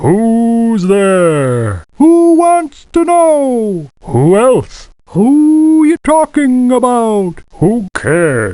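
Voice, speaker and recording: Put on as a character, the voice sits fairly high and swings very widely in pitch. It moves very slowly with hardly any pauses, over a quiet background. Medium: video game.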